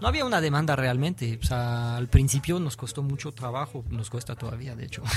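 A man's medium-pitched voice in a French accent, fairly quick with hardly any pauses, ordinary pitch variation and big swings in loudness, over noticeable background noise. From France. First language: French (speaking Spanish). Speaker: graffiti artist. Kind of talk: interview. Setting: radio studio. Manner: halting.

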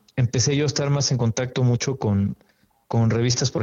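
This man talks at a fairly quick pace in a normal speaking voice. His pitch is medium and his intonation fairly even. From Mexico City. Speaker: photographer. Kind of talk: interview.

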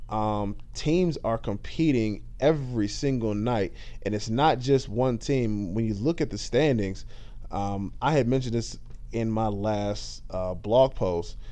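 A man with a medium-pitched, dark and mellow voice talks at a fairly slow pace with ordinary pitch variation, and the room echo is audible. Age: 20s. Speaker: basketball podcast host. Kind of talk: solo podcast commentary. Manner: casual, with many fillers.

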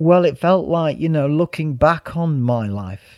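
Speaking at a moderate pace with ordinary pitch variation, a man in a Mancunian accent comes through on a very clean recording with a silent background. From Manchester, northern England. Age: 50s. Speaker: yoga teacher and former club DJ. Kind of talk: casual interview chat.

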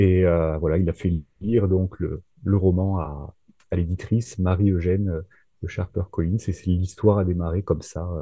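Fairly even in intonation, a man's voice sits very deep and low. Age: 30s. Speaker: thriller author and nurse. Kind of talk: casual interview. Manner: hesitant, many fillers.

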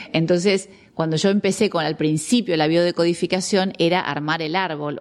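Against a quiet background comes an unremarkable speaking voice with ordinary pitch variation. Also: woman. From Argentina. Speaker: biologist and biodecoding therapist. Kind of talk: interview conversation.

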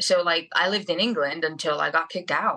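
A woman with a Spanish accent, fairly low in pitch, with a bright, sharp tone, at a moderate pace. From Venezuela. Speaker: UFC fighter. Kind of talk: casual interview. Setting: video call.

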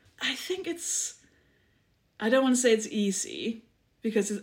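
At a moderate pace, a woman talks in a Danish accent. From Denmark, small village. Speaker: comedian and author. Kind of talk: casual chat.

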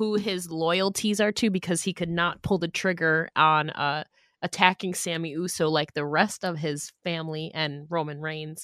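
A woman with an unremarkable speaking voice talks at a moderate pace in a fairly low pitch with ordinary pitch variation. The sound is dry and close with no echo, on a very clean recording with a silent background. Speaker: podcast host, wrestling commentator. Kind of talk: casual chat.

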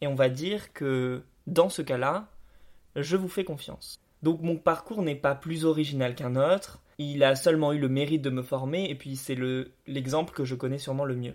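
With a plain, everyday voice, a man speaks at a moderate speed, his fairly high pitch showing ordinary variation. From France, Bordeaux suburbs. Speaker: podcast host. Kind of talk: scripted narration.

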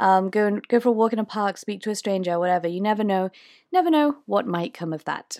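A woman with a British accent speaks very fast at a medium pitch, her intonation lively. The very clean recording has a silent background and a dry, close sound with no echo. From UK. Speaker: podcast host and tour guide. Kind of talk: casual solo Q&A monologue. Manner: filler-heavy, conversational.

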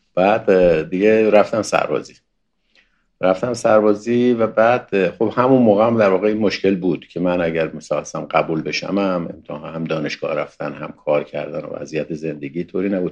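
A man's normal speaking voice, fairly low in pitch, with ordinary pitch variation, big swings in loudness, and a fairly quick pace. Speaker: former expelled student, Baha'i. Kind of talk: interview testimony.

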